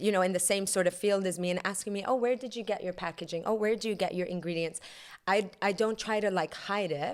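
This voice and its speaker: Talking at a very fast pace, a woman keeps her medium pitch fairly even in intonation. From Iranian background. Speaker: yoga instructor and dessert business owner. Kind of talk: casual chat. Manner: soft-spoken.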